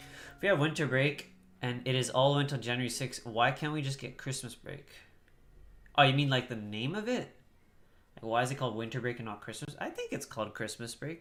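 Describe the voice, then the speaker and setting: In an ordinary speaking voice, a man goes at a fairly quick clip, his pitch medium and varying in an ordinary way. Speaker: gaming livestreamer. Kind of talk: casual chat.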